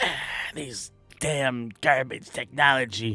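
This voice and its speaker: A put-on character voice, raspy and low-to-middle in pitch, moves at a very slow pace. Faint music plays in the background. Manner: cursing, grumbling.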